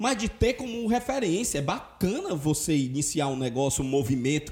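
Noticeable background noise sits under a man whose pitch swings very widely. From Brazil, Ceará (Fortaleza). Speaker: podcast host. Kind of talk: casual chat.

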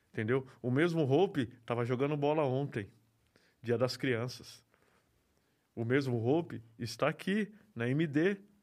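Medium pitch from a man, with ordinary variation, a fairly slow pace and long, frequent pauses. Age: 40s. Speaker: graffiti artist. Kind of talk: interview.

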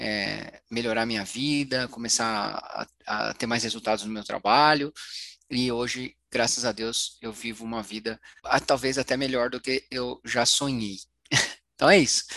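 Speaking fairly slowly, a man has an unremarkable speaking voice at a medium pitch. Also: fairly even intonation. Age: 40s. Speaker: financial therapist. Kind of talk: interview.

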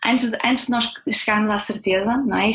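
A woman talks in a somewhat breathy voice with fairly even intonation. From northern Portugal, Braga. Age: 20s. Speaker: entrepreneur, communications professional. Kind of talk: interview.

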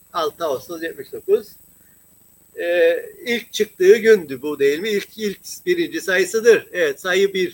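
A man talking at a very slow pace, the sound dry and close with no echo. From Cyprus (Turkish Cypriot). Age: 60s. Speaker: political commentator, former teacher. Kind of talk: political discussion on live stream. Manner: halting, many fillers.

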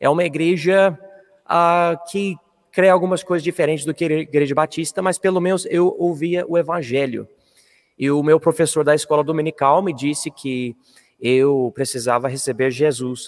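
An English accent at a moderate pace, with ordinary pitch variation. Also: man, fairly high pitch for a man. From Colorado, US. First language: English (speaking Portuguese). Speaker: missionary pastor. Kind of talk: interview testimony.

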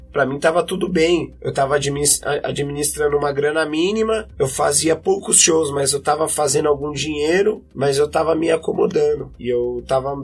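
Noticeable background noise sits under a man speaking at a moderate pace with a fairly high pitch. He shows ordinary pitch variation and hardly any pauses. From São Paulo, Brazil (west zone, Butantã). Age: 30s. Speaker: musician and MC. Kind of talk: interview testimony.

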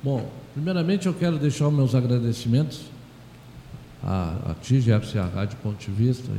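A man's voice comes across as somewhat breathy. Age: 70s. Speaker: president of a municipal council for the elderly. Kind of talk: radio interview. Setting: radio studio. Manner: halting.

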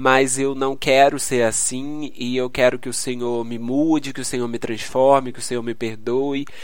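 Noticeable background noise and audible room echo fill the recording. Through it, a man speaks at a fairly slow pace. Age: 20s. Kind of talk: solo devotional podcast talk. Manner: halting.

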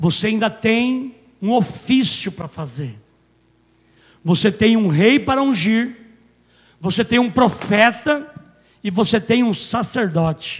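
Pausing long and often, a man with a high-pitched voice speaks very slowly with lively intonation. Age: 50s. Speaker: pastor. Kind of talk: sermon. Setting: church. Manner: animated.

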